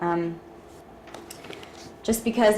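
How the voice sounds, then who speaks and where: Through audible room echo and noticeable background noise, a woman with a Texas accent speaks with fairly even intonation. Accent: Texas twang. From Ecuador, Lebanon and Texas. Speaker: art student. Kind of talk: personal testimony. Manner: hesitant with many fillers.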